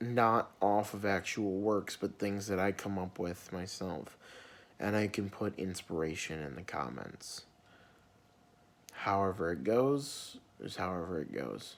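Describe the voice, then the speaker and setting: Soft-spoken and fairly low in pitch, a man talks at a fairly slow pace with ordinary pitch variation. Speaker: vlogger. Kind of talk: personal vlog rant. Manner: quiet, soft-spoken; sometimes gets loud.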